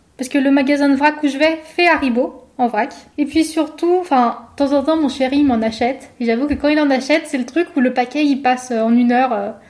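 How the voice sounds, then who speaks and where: With hardly any pauses, a woman speaks at a high pitch and fairly even intonation over noticeable background noise. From France, Savoie (Chambéry). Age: 20s. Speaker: food photographer. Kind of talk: interview conversation.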